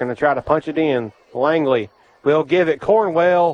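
Over noticeable background noise, a man speaks fairly slowly at a fairly high pitch. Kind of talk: live high school football play-by-play radio commentary. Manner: folksy, conversational, steady play-by-play call with local color.

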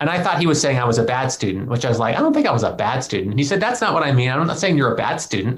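A man talks at a very fast pace with lively intonation and hardly any pauses, amid audible room echo and noticeable background noise. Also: medium pitch for a man, very even loudness. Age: 40s. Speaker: philosophy professor and podcast co-host. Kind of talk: casual conversation.

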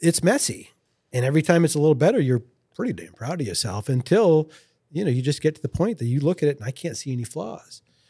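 Talking at a very fast pace with lively intonation, this somewhat breathy voice makes big swings in loudness. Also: man, fairly high pitch for a man. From Lewiston, Maine (French Canadian family). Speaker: fly rod company founder. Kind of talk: casual interview.

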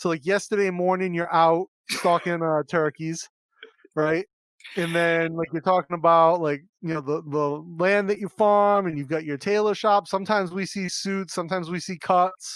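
At a moderate pace, a man talks with a high pitch and fairly even intonation, in a dry, close sound with no echo. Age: 40s. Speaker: podcast host. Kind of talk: casual interview. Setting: video call.

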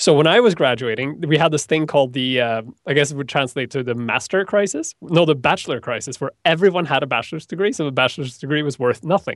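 Speaking very fast with hardly any pauses, a man with a fairly high pitch and ordinary pitch variation talks with a Norwegian accent. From Norway. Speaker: web developer and online instructor. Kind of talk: interview. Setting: video call.

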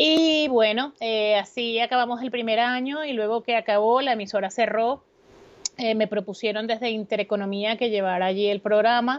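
At a moderate pace, a woman talks in a fairly high voice. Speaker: radio host and business centre director. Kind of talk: interview. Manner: lively, informal.

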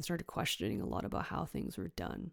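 Over a silent background in a very clean recording, a woman with a Canadian accent speaks very fast in a very deep, low voice with vocal fry. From western Canada (Richmond, BC, near Vancouver). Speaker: podcast host, energy healer. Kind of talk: personal storytelling monologue. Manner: casual, filler-heavy.

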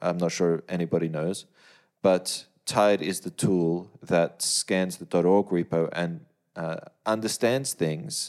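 In a very clean recording with a silent background, the speech unfolds at a very slow pace with ordinary pitch variation. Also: man, very deep, low pitch for a man. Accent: Australian. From Australia. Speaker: plugin developer. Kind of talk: casual chat.

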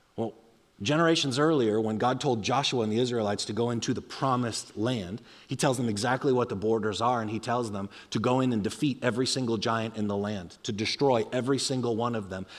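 In a very clean recording with a silent background, a man speaks at a medium pitch in an animated tone at a very fast pace. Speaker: pastor. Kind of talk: sermon. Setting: church.

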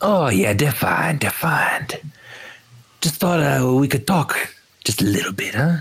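Putting on a character voice, a man speaks fairly slowly and fairly high, with long, frequent pauses. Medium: actual play. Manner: casual, self-important, ends lines with "huh?".

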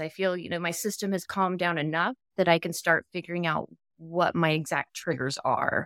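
A woman with an American accent has an unremarkable speaking voice, fairly low in pitch and fairly quick in pace. The recording is very clean with a silent background, and the sound is dry and close with no echo. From Texas. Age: 30s. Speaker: POTS patient. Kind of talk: casual interview chat.

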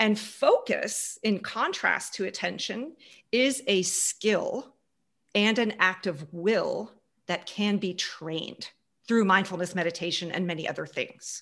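A plain, everyday voice from a woman with an American accent, medium in pitch, at a fairly slow pace with ordinary pitch variation. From Houston, Texas and Germany. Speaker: business consultant. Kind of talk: interview.

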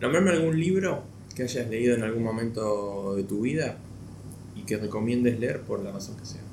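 Audible room echo surrounds a man at medium pitch. He talks at a moderate pace with lively intonation. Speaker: podcast host. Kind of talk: interview.

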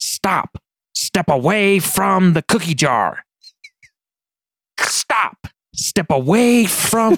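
A loud man in a put-on character voice, high-pitched, very slow, with long, frequent pauses. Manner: obnoxious.

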